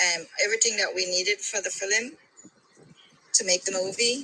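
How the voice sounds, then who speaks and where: A woman with a Belizean accent, over noticeable background noise. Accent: Belizean Caribbean. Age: middle-aged. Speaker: caller. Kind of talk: casual chat.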